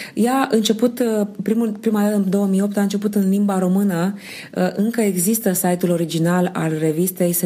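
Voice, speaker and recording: A woman in a plain, everyday voice, at a moderate pace with fairly even intonation. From Romania, Slobozia, Ialomița. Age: 30s. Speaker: sociologist and non-verbal communication expert. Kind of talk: interview.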